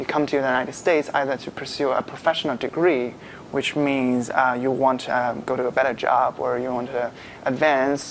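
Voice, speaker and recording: Light background noise sits behind a man with a Chinese accent who speaks in a monotone, flat intonation. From China. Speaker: graduate student. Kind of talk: live panel discussion. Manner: halting. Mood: friendly, relaxed, smiling. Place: studio. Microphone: lapel.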